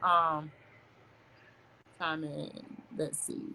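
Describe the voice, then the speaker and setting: This woman's voice has a bright, sharp tone. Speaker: talk show host. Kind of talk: casual live-stream chat. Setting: Facebook live video stream.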